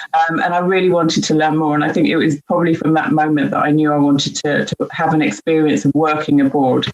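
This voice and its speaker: Speaking very fast with hardly any pauses, a woman with a British accent keeps her loudness very even, her very deep, low pitch showing ordinary variation. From UK. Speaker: diversity and inclusion leader. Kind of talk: panel discussion. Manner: hesitant, many fillers.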